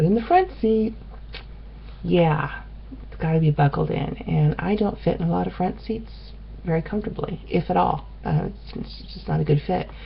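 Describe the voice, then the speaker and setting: Noticeable background noise sits behind a woman speaking at a moderate pace. She takes long, frequent pauses. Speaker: vlogger on weight loss surgery. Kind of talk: casual vlog. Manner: chatty, many ums.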